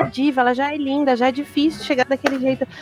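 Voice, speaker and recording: A woman at a high pitch and very fast pace, with noticeable background noise. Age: 30s. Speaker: comics professional and fan. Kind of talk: casual chat.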